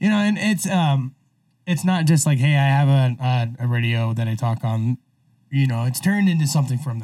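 With an American accent, a man speaks at a moderate pace and medium pitch, his somewhat breathy voice dark and mellow in tone, with lively intonation. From Idaho. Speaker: podcast host. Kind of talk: casual chat. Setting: studio.

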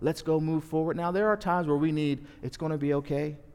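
Here is a man with an American accent and a plain, everyday voice. His pitch is fairly high and his pace fairly quick. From US Northeast (South Jersey). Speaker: pastor. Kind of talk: sermon. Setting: church.

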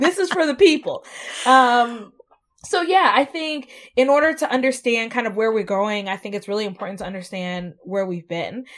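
In an American accent, a woman talks at a moderate pace with very wide pitch swings on a very clean recording with a silent background. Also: fairly high pitch for a woman. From US South. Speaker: community organization founder. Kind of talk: interview. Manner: long-winded.

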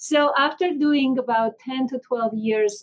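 A woman with an Armenian accent. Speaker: physician and healthcare executive.

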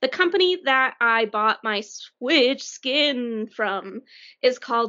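A woman talks with a Colorado accent. Her pitch sits fairly high. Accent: American, Colorado. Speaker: podcast co-host. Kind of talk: casual chat.

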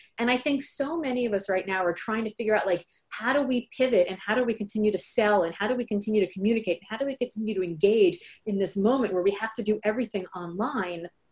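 Somewhat breathy, the voice has an American accent and ordinary pitch variation. It moves at a very fast pace. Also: woman, fairly high pitch for a woman. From Miami, Florida. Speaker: author and speaker. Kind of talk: casual interview. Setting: video call from home.

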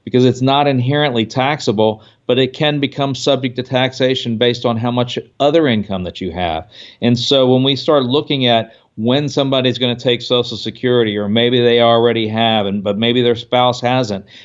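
A man with an unremarkable speaking voice and medium pitch talks at a fairly quick pace, his intonation fairly even. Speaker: financial consultant. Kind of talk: casual expert interview about financial planning. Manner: conversational, filler-heavy.

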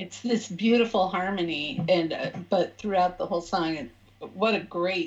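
A woman's plain, everyday voice, medium in pitch, with ordinary pitch variation at a fairly slow pace. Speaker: podcast co-host. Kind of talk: casual interview.

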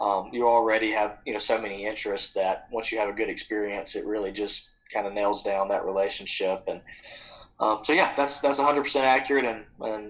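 A man with an Alabama accent, fairly low in pitch, with fairly even intonation. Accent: Southern US (Alabama). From Alabama, US South. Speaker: founder of a hunting trip-swap company. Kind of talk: podcast interview. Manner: casual, with frequent fillers and repetitions.

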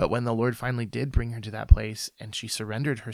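A man with a slight Midwestern accent talks at a very fast pace in a medium pitch, with vocal fry and fairly even intonation. The recording is very clean, with a silent background. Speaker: ministry founder and author. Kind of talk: interview testimony.

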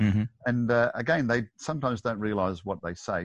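A man with an Australian accent talks at a fairly quick pace with lively intonation. The background is quiet. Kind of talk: interview.

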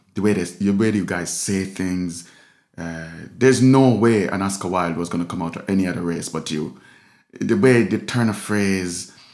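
Against audible room echo, a man speaks in a very deep, low pitch with ordinary pitch variation. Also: moderate pace. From Jamaica. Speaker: street artist and musician. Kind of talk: casual chat.

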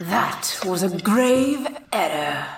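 Put-on, gruff character voice, female-sounding and medium in pitch for a woman. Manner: ominous.

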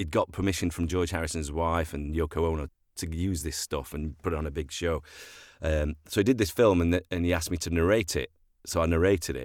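Very deep and low, a man's voice moves at a fairly quick pace with fairly even intonation in a very clean recording with a silent background. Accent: Sheffield. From Sheffield, northern England. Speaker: actor and voiceover artist. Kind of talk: casual chat.

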